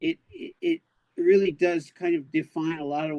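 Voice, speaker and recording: An ordinary speaking voice at a moderate pace with fairly even intonation and a dry, close sound with no echo. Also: man. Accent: American. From US, Los Angeles. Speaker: announcer voice actor. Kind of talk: casual chat. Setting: live stream.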